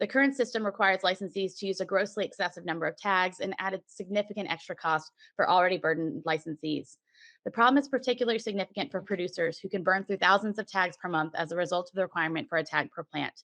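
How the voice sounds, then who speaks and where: In a dry, close sound with no echo and a quiet background, a woman at a medium pitch speaks at a very fast pace with a bright, sharp tone and ordinary pitch variation. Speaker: cannabis industry association representative giving public comment. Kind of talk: prepared statement at public meeting.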